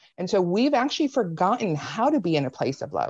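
This woman speaks with an American accent at a moderate pace. Her medium pitch rises and falls in very wide swings. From US South, Spartanburg, South Carolina. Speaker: political analyst. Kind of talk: casual chat.

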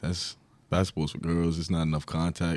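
In a very clean recording with a silent background, a man with a New York accent speaks at a fairly quick pace in a very deep, low voice. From New York, Long Island. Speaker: college basketball player. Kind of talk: interview.

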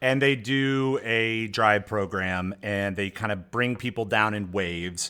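A man talks at a fairly slow pace with a fairly low pitch and hardly any pauses. His pitch varies in an ordinary way. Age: 40s. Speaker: podcast co-host, former blogger. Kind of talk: casual chat. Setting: home garage. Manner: animated.

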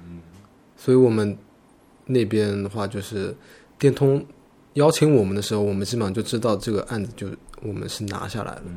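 Recorded very cleanly against a silent background, the dark, mellow voice moves at a fairly quick pace with long, frequent pauses, big swings in loudness and ordinary pitch variation. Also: man, fairly low pitch for a man. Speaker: graphic designer. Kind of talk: casual chat.

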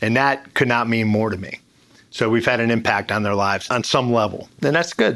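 Speaking at a fairly quick pace, the man has an ordinary speaking voice. His pitch is medium, with fairly even intonation. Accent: American. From US Mid-Atlantic, Maryland (Bethesda). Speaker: retired special forces veteran and restaurant owner. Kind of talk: casual interview.

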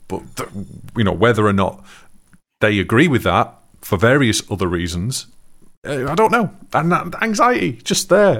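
Very wide pitch swings mark this moderately paced speech, broken by long, frequent pauses. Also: man. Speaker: podcast co-host. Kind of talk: casual chat. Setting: live stream.

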